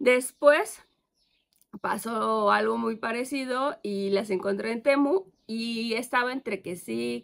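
There is a quiet background. A woman talks at a very slow pace. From Mexico, Querétaro. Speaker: plant YouTuber. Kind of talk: casual vlog haul. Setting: outdoors in garden. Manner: animated. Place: garden. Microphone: phone near.

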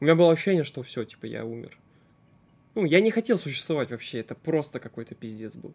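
With a very fast pace and lively intonation, a man is talking. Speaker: streamer. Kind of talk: casual stream storytelling. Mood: frustrated, swearing heavily. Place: home room.

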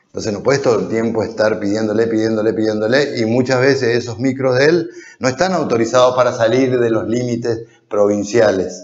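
His intonation is fairly even. The man keeps up a fairly quick pace. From Corrientes, Argentina. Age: 50s. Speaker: politician, council candidate. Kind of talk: political interview. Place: studio. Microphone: lapel.

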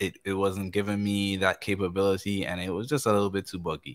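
Over a quiet background, a man speaks at a fairly low pitch. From Caribbean islands. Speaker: keyboard player; guest. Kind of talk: casual interview with screen-share tutorial. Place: studio.

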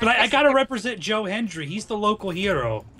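A man's voice swings very widely in pitch. Noticeable background noise runs underneath. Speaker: gaming livestream co-host. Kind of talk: casual livestream chat.

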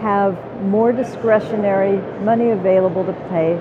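Her pitch varying in an ordinary way, a woman is heard through noticeable background noise. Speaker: legislator or policy commentator. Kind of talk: interview answer. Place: hall. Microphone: lapel.

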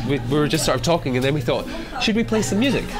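Clear background music plays throughout. Over it, a man talks. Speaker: interview guest. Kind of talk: interview answer, storytelling. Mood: amused, lively storytelling. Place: bar.

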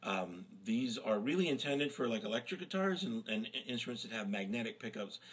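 Lively intonation runs through this speech, delivered at a fairly quick pace. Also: man. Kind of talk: tutorial. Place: home room. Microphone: webcam.

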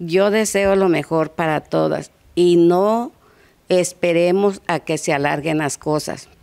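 The speech moves at a very slow pace with ordinary pitch variation. The background is quiet. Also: woman. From Mexico, Guerrero coast. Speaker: cancer survivor, support group member. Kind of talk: news interview. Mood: calm, earnest, advising. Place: garden. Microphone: handheld.

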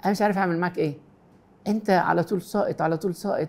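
In an Egyptian accent, a man talks at a high pitch with a dark, mellow tone. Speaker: Coptic priest answering viewer questions. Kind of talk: pastoral advice answering read-out questions. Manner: warm, gentle. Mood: warm, gentle, reassuring. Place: studio.

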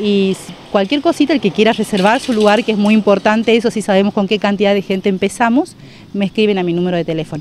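Over light background noise, a woman talks at a very fast pace with ordinary pitch variation, the sound dry with no echo. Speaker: theatre teacher. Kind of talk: interview answer. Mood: friendly, upbeat. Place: open country. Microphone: handheld.

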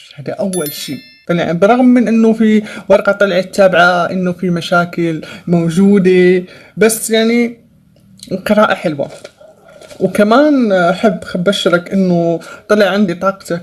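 Her pitch is medium with ordinary variation as this woman speaks at a very slow pace. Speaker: tarot reader. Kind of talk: tarot reading. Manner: hesitant with many fillers. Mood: upbeat, encouraging. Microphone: phone near.

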